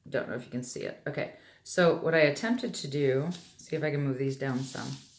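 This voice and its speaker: Audible room echo surrounds a woman with a very deep, low pitch and ordinary pitch variation. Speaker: tarot reader. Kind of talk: tarot reading. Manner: casual, hesitant.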